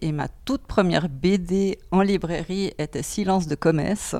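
This woman speaks with a Swiss German accent and fairly even intonation. The recording is very clean, with a silent background. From German-speaking Switzerland. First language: Swiss German (speaking French). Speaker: bookseller. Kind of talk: interview. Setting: bookshop before opening.

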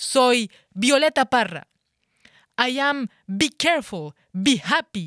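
A woman speaks with lively intonation in a Colombian accent. The sound is dry and close with no echo, a very clean recording over a silent background. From France and Colombia. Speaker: slam poet. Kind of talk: slam performance. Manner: rhythmic.

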